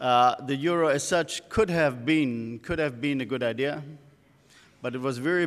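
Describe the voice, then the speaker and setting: A man speaks with a German accent and fairly even intonation. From Germany. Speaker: economist. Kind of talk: conference talk. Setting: stage with audience. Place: hall. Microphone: podium.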